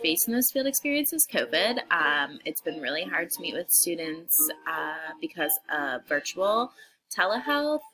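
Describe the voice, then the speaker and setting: Music plays in the background as a woman talks. Her pitch swings very widely at a moderate pace. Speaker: social work student. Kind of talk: class video introduction. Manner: hesitant, many fillers.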